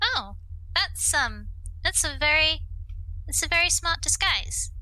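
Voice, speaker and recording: Using a put-on character voice, a woman talks at an extremely high pitch and a fairly slow pace, her loudness very even. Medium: actual play. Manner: soft, polite.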